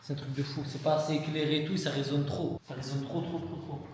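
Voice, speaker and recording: Amid noticeable background noise and audible room echo, a man talks at a fairly quick pace with a fairly high pitch. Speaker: streamer. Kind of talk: casual chat. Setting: indoor shared room. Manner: loud.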